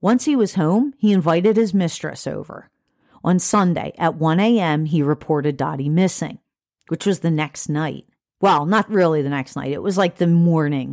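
In an ordinary speaking voice, a woman with a fairly low pitch talks at a moderate pace with lively intonation, on a very clean recording with a silent background. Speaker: podcast host researching and telling true crime cases. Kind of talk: true-crime narration, telling the case details to a co-host. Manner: steady, matter-of-fact storytelling, casual and conversational between narrated passages; casual, chatty, swears mildly.

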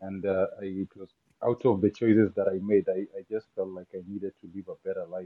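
With a Kenyan accent, a man at a fairly low pitch talks at a fairly quick pace in a monotone, flat intonation while his loudness swings widely. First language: not English (Kenyan language). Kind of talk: casual interview chat.

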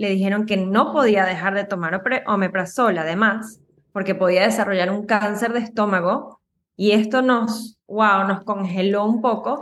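A woman talks at a moderate pace and medium pitch, with fairly even intonation. It is an ordinary speaking voice. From Venezuela. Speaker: Ayurveda practitioner. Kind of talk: casual interview.

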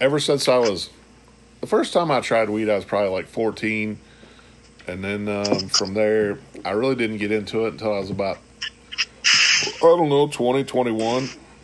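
Against noticeable background noise, a man talks at a moderate pace and a fairly low pitch, with ordinary pitch variation. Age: 50s. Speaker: podcast co-host. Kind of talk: casual chat.

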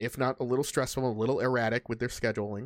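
In a dry, close sound with no echo and a very clean recording with a silent background, a man speaks with a medium pitch and an animated tone. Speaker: podcast host. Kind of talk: casual chat. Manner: laughs often, animated.

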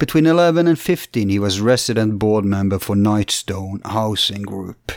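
A man's fairly low voice comes through dry and close with no echo, on a very clean recording with a silent background. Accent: Norwegian. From Norway. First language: Norwegian. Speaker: podcast host.

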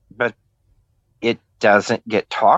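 A man speaks at a very slow pace. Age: 60s. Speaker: interview guest sharing life story. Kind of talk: testimony. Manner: halting.

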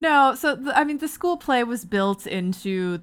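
A woman with a Canadian accent and a plain, everyday voice, a moderate pace, ordinary pitch variation, and a very clean recording with a silent background. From Ontario, Canada (Barrie). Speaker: TV and video game writer. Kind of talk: casual chat.

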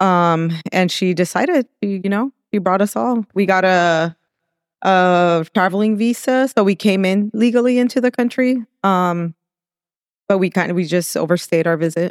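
A woman with a slight Mexican accent talks at a moderate pace and medium pitch, with ordinary pitch variation, very even loudness, and a dry, close sound with no echo. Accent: slight Mexican-accented American English. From Mexico, raised in Southern California (El Monte). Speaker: chef and restaurant owner. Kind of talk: casual interview. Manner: laughs often.

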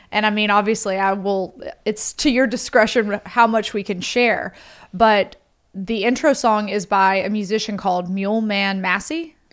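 With a Southern US accent, a woman speaks at a moderate pace and a medium pitch. Her intonation is fairly even, and the recording is very clean with a silent background. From US South, Mississippi. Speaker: podcast host. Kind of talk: casual chat.

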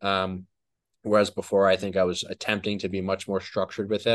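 Someone with an American accent speaks at a fairly quick pace over a quiet background. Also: man. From New Jersey. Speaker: personal trainer and online fitness educator. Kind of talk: casual chat. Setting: video call.

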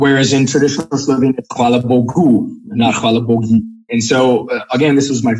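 A man with an American accent, medium in pitch, at a moderate pace with fairly even intonation. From US East Coast. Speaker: Latin teacher and language enthusiast. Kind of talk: casual interview.

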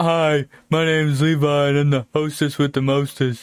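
Using a put-on character voice, a man speaks at a moderate pace, his fairly high pitch delivered in a monotone, flat way. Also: very clean recording, silent background. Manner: slurred and lumbering.

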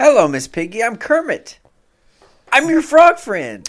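High-pitched put-on character voice at a moderate pace. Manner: friendly, cheerful.

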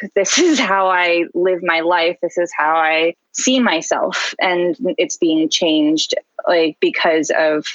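A woman with an American accent speaks at a fairly slow pace in an ordinary speaking voice, fairly low in pitch with ordinary pitch variation, in a dry, close sound with no echo. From US West Coast (San Diego). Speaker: illustrator and art educator. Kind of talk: casual interview.

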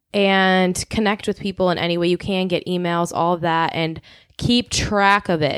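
A woman with an American accent speaks at a moderate pace and medium pitch, with monotone, flat intonation and very even loudness, on a very clean recording with a silent background. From Chicago suburbs. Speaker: podcast co-host. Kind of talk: casual chat.

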